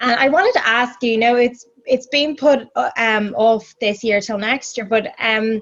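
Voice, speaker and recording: Barely pausing, a woman with an Irish accent speaks at a fairly high pitch. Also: ordinary pitch variation, moderate pace. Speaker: radio broadcaster, interviewer. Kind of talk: interview. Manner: hesitant, many fillers.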